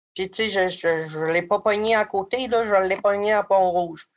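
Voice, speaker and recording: A woman speaks with a Quebec accent. Her pace is fairly slow and her pitch medium. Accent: Québécois French. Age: 20s. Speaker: former youth in care, community advocate. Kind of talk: personal testimony interview.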